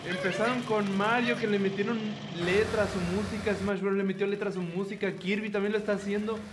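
A man talks at a high pitch and a fairly quick pace, with little pitch movement. Audible room echo and clear background noise surround him.

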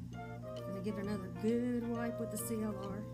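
A woman at a moderate pace over loud music in the background. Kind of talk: tutorial. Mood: excited, cheerful. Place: kitchen. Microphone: phone near.

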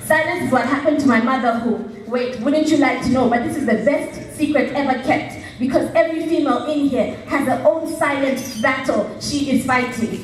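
A high-pitched woman's voice with hardly any pauses, light background noise and audible room echo. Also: moderate pace. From Zambia. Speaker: slam poet. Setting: stage with audience. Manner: animated, emphatic and punchy, with a theatrical build and dramatic pauses. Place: stage.

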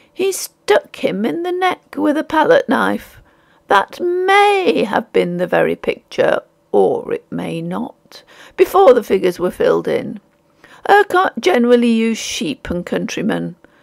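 A woman's put-on character voice, raspy and hoarse, high-pitched, at a moderate pace, with a dry, close sound and no echo. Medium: read story. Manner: indifferent, impassive, weary.

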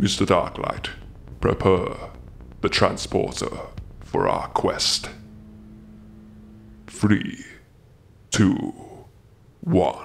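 A man speaks in a put-on character voice at a very slow pace. Long pauses break up his delivery often. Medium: audio drama. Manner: formal, solemn.

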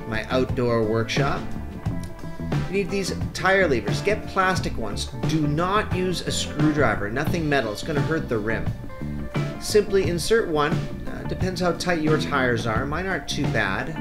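Over clear background music, a man speaks at a moderate pace. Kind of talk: tutorial. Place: garden. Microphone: camera far.

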